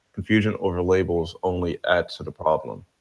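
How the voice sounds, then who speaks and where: This is a man speaking. He has a New Jersey accent. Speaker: live stream panelist. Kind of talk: casual chat; reading aloud.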